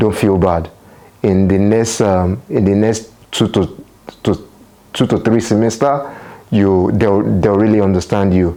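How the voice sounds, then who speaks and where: A man with a Nigerian accent speaks fairly slowly in a fairly low, dark, mellow voice, keeping his loudness very even and his intonation fairly even. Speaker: international student and vlogger. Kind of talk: vlog talk to camera. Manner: hesitant, repeats words.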